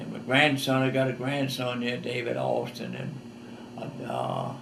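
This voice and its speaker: With a Southern US accent, a man speaks amid audible room echo and noticeable background noise. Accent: Southern US rural. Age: 80s+. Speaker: war veteran. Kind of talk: testimony. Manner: halting.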